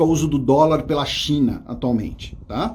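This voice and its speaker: There is noticeable background noise. A man speaks at a fairly high pitch with ordinary pitch variation. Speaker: history teacher. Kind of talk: live exam review lecture. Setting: studio. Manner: fast.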